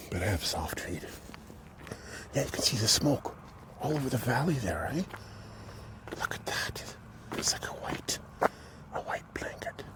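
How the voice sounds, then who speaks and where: A man whispering at a moderate pace, with long, frequent pauses amid noticeable background noise. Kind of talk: casual talk to camera, walking vlog. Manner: soft-spoken, whispered.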